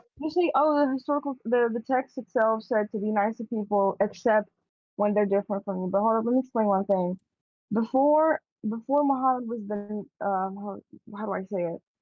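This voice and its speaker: A woman with an Arabic accent talks at a fairly quick pace. Her fairly high pitch shows ordinary pitch variation. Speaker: podcast co-host. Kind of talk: casual debate. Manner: animated.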